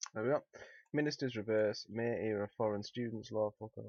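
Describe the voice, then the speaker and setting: A man with a British accent and a fairly low pitch. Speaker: news commentary streamer. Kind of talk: live stream commentary. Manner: casual, rambling with hesitations.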